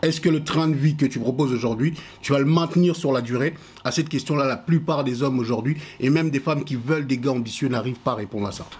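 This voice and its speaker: A man talks at a very fast pace in a fairly high pitch. His voice is somewhat breathy, with ordinary pitch variation. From Congo. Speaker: podcast panelist. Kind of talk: casual chat.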